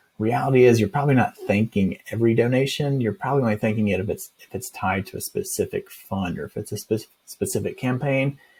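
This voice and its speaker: With lively intonation and hardly any pauses, a man talks at a very fast pace in a somewhat breathy voice of medium pitch. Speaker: software company founder giving product demo. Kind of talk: screen-share product demo. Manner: casual, upbeat.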